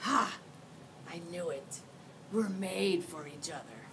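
Over clear background noise, a put-on character voice at middle pitch moves at a fairly slow pace. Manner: playful, growling.

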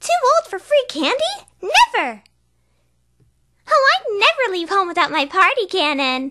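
An extremely high put-on character voice moves at a moderate pace with very wide pitch swings and long, frequent pauses.

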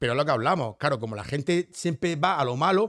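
A man's voice at a fairly quick pace, very wide pitch swings, against a quiet background. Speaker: nightlife figure and former footballer; podcast guest. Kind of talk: casual chat. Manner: stammers and talks very fast when euphoric. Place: studio. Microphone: studio mic.

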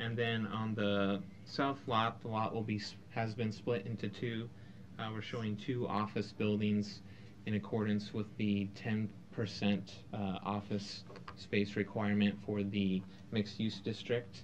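A man speaks at a fairly slow pace and a fairly low pitch in a monotone, flat intonation. Long, frequent pauses break up his speech over light background noise. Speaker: engineer presenting to council. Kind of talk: public testimony. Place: hall. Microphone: podium.

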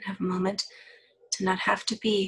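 This voice belongs to a woman. It sits at a medium pitch. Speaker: counselor. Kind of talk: guided body-scan meditation. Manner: slow, soft-spoken.

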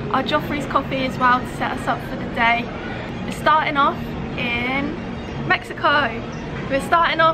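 Someone speaks at a moderate pace while music plays in the background. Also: woman. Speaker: travel vlogger. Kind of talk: casual vlog chat. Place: street. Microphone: phone near.

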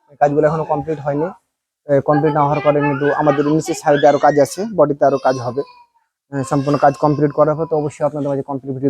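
A man speaks in a fairly high pitch. The sound is dry and close, with no echo. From Bangladesh, Rajshahi. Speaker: construction contractor and vlogger. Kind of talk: casual site-tour vlog.

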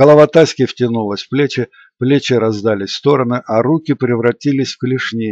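Someone reads aloud in a natural voice here.

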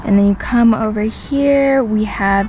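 Recorded dry with no echo and light background noise, a woman speaks with ordinary pitch variation. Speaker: vlogger showing her new car. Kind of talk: casual vlog chat. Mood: excited, chatty. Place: car. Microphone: phone near.

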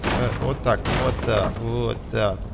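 A man is heard through noticeable background noise and audible room echo. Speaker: gaming YouTuber. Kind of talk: let's play commentary. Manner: animated.

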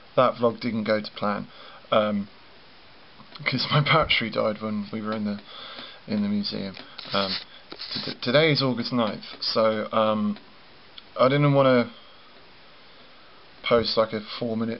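A man talks at a fairly slow pace, with long, frequent pauses. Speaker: vlogger. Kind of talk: casual vlog chat. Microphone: phone near.

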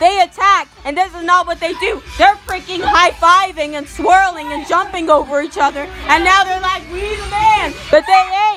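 A raised, projected voice at a moderate pace with hardly any pauses and ordinary pitch variation, crowd noise behind it. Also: woman, extremely high pitch for a woman, big swings in loudness. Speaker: improv voiceover performer. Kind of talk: improvised comedic sports commentary. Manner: sassy, playful.

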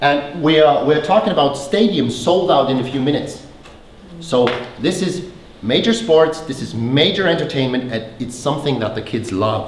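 Over light background noise and audible room echo, a man with a German accent speaks at a moderate pace with a fairly high pitch and lively intonation. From Germany. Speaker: company founder and former teacher. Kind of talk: conference presentation. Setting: stage with audience.

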